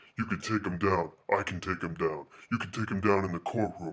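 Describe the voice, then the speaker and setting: Using a put-on character voice, a man speaks at a very deep, low pitch and a fairly quick pace on a very clean recording with a silent background. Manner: commanding, gravelly.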